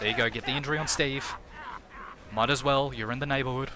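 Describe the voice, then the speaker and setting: A man speaks in an Australian accent. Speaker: game streamer and commentator. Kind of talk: live game commentary with chat reading. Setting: live stream. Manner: casual, repetitive filler words.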